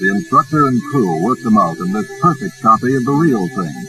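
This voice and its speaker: Music plays behind a man speaking at a fairly quick pace. His medium pitch swings very widely. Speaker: newsreel narrator. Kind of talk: vintage newsreel narration. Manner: upbeat.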